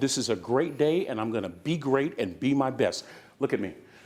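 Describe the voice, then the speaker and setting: A man with an American accent talks at a moderate pace in an animated tone with lively intonation. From US West Coast, San Francisco Bay Area. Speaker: motivational speaker. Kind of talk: motivational speech. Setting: conference stage with audience. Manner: repetitive, preacher-like cadence.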